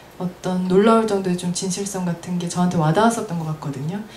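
Over light background noise and audible room echo, a woman speaks at a moderate pace with ordinary pitch variation. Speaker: event organizer and moderator. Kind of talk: moderated panel discussion. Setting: live event with audience. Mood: calm, thoughtful. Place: shop. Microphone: handheld.

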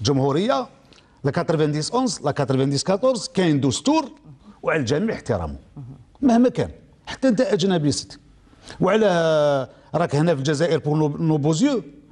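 Speaking at a moderate pace with a fairly high pitch and an Algerian accent, a man swings his pitch very widely at a very even loudness, with long, frequent pauses against a quiet background. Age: 70s. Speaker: trade union leader; guest. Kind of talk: formal TV interview. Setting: studio. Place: studio. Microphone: lapel.

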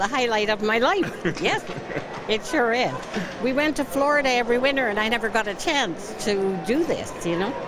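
A woman at a moderate pace, dry sound with no echo, and noticeable background noise. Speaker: player's grandmother. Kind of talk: interview answer. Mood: joyful, delighted. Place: stadium. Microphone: handheld.

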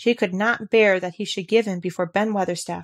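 The voice moves at a fairly quick pace with ordinary pitch variation. The recording is very clean with a silent background and has a dry, close sound with no echo. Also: woman. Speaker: audiobook narrator. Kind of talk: literary audiobook reading, with dramatic character voices for the dialogue.

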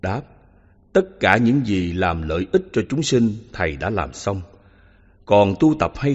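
A man with a somewhat breathy, fairly low voice speaks at a fairly slow pace with very wide pitch swings. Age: 80s+. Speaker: Buddhist monk teacher. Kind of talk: reading aloud.

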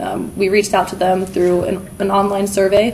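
A woman speaks in a monotone, flat intonation with light background noise. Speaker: conference presenter. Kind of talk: conference presentation. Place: hall.

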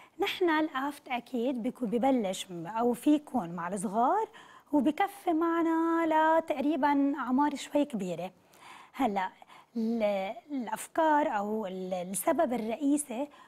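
Very wide pitch swings at a very slow pace. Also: woman. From Lebanon. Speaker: nutritionist; guest. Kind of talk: morning TV interview. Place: studio.

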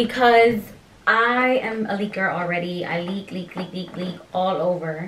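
With an American accent, a woman in a plain, everyday voice talks at a fairly slow pace with medium pitch and ordinary pitch variation, over light background noise. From Pennsylvania. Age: 20s. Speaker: YouTuber, expectant mother. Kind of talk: casual vlog. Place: home room. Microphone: camera far.

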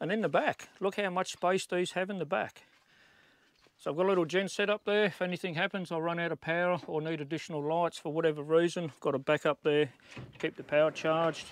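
Dry sound with no echo carries a man's high-pitched voice and fairly even intonation. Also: fairly quick pace. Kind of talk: casual walkthrough tour. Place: open country. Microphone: phone near.

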